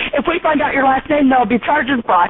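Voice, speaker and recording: Over noticeable background noise, a woman talks at a very fast pace in a high pitch with very wide pitch swings. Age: old. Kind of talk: angry phone call. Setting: phone line.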